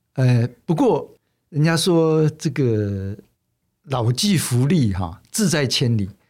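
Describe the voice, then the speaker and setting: Very slowly and with very wide pitch swings, a man at medium pitch speaks on a very clean recording with a silent background. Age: 60s. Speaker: magazine publisher. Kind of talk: interview. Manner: halting, many fillers.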